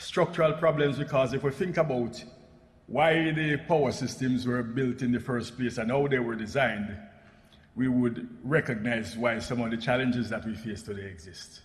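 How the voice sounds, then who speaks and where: A man with a Jamaican accent talks at a moderate pace. His pitch is medium with ordinary variation, and room echo is audible. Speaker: energy policy expert, panel speaker. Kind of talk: conference presentation. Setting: parliamentary assembly plenary session. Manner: formal.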